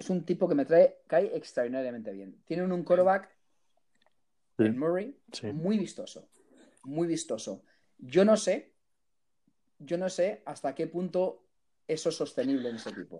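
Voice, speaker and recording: A man speaks in a high voice with a dark, mellow tone and lively intonation. He goes at a fairly slow pace with long, frequent pauses. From Canada, Vancouver. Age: 50s. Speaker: sports broadcaster. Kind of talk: interview.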